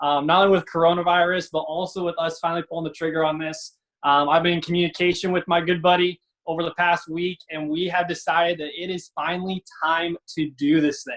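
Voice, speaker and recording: This man speaks in an American accent at a fairly quick pace. His pitch is high for a man. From Iowa. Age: 20s. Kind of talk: casual chat. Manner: animated.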